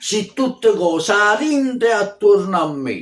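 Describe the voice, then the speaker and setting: This is a man talking. His pace is very slow. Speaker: poet. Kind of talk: poetry reading. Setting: recorded at home on video. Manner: declamatory, heartfelt.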